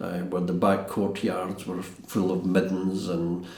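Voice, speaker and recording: A man with a Glaswegian accent speaks in a very deep, low pitch. Audible room echo and noticeable background noise surround him. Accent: Glaswegian Scottish. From Scotland, East End of Glasgow. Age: 70s. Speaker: castle restorer. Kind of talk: interview reminiscence. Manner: halting.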